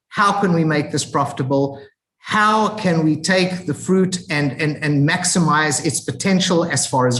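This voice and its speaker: The speaker has an African accent. The pace is fairly slow. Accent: African accent, noticeable. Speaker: agricultural training institute representative. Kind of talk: webinar presentation. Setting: online webinar. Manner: halting, many repetitions and fillers.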